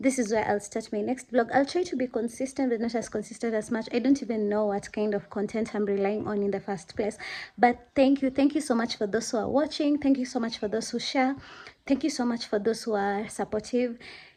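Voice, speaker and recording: A woman with a normal speaking voice talks fairly quickly at a fairly high pitch, with ordinary pitch variation. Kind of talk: casual vlog talk.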